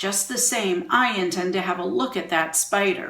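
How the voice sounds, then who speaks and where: A woman puts on a raspy character voice at a medium pitch. Her pace is moderate. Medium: read story. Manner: matter-of-fact.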